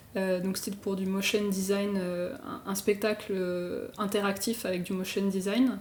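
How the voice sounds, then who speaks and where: With audible room echo around her, a woman speaks in a monotone, flat intonation. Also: medium pitch for a woman, fairly slow pace. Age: 20s. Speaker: illustrator and motion designer. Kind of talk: podcast interview. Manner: casual, many fillers.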